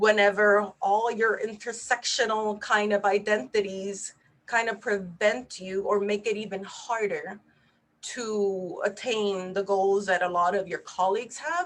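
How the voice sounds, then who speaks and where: A woman with a Spanish accent speaks at a fairly slow pace, her medium-pitched voice keeping a fairly even intonation. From Puerto Rico. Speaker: neurologist. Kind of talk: webinar presentation.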